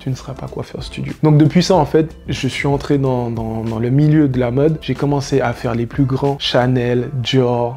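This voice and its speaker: With music in the background, a man at a medium pitch talks fairly slowly and fairly evenly, hardly pausing at all. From French Antilles. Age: 30s. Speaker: hairstylist. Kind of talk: vlog monologue.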